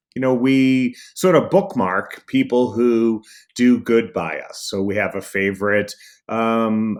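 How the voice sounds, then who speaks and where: At a very slow pace, a man with an American accent and medium pitch speaks with ordinary pitch variation in a very clean recording with a silent background. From Boston. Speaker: speaker and trainer. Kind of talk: interview.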